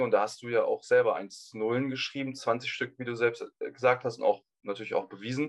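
Here a man talks at a moderate pace in a normal speaking voice. His pitch is medium and his intonation fairly even. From Hamburg, northern Germany. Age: 20s. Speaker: university student. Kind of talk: interview. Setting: video call.

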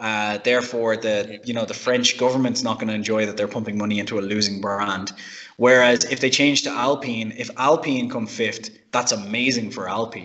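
A man speaks in an unremarkable speaking voice, keeping a medium pitch, a moderate pace and fairly even intonation. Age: 30s. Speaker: car podcast panelist. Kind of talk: casual chat.

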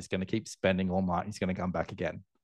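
With an Australian accent, a man talks in a quiet background. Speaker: airline loyalty entrepreneur. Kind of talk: interview conversation.

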